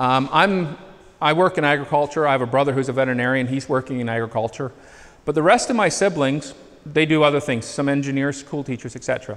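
The man's fairly high voice moves at a fairly quick pace with ordinary pitch variation. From Northern Ontario, Canada; Ontario, Canada. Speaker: agronomist / soil lab specialist; presenter. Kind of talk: presentation to farmers; lecture. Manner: conversational, with filler hesitations. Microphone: handheld.

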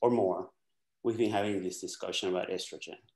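Audible room echo surrounds a man speaking against a quiet background. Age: 60s. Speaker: doctor; guest. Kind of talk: casual chat. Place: home room. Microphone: webcam.

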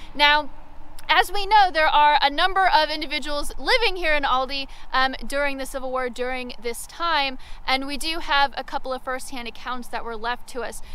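The voice is raised and projected, with lively intonation at a moderate pace. The sound is dry with no echo. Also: woman, high pitch for a woman. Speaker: local history guide. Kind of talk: outdoor walking-tour history storytelling. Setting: outdoors on location. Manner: vivid dramatic storyteller, leans into battle anecdotes; conversational with frequent 'um' fillers. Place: open country. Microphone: phone near.

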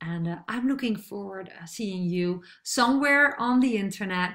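A woman with a Dutch accent speaks at a moderate pace in a bright, sharp tone with lively intonation over a quiet background. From Netherlands. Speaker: online marketer; online business coach. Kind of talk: tutorial. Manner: hesitant, many fillers. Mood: friendly, upbeat.

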